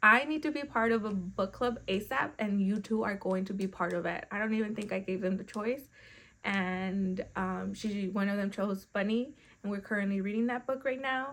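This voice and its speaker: In a Spanish accent, a woman is speaking. Her delivery is moderate in speed. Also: medium pitch for a woman, ordinary pitch variation. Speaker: book vlogger. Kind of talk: casual chat.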